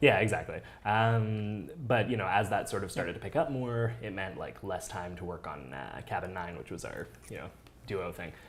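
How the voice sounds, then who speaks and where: There's audible room echo as a man with a fairly low pitch and vocal fry talks at a moderate pace, his intonation lively and his loudness swinging widely. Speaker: podcaster and former youtuber. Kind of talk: casual chat. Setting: dinner conversation on camera.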